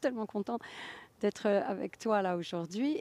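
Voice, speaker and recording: A woman speaks with a dark, mellow tone in a dry, close sound with no echo. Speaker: author. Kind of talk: interview. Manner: halting.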